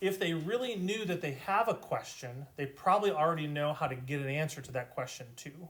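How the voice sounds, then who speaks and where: Fairly high in pitch and somewhat breathy, a man talks at a fairly quick pace with ordinary pitch variation. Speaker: math teacher. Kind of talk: lecture. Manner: slurred at times.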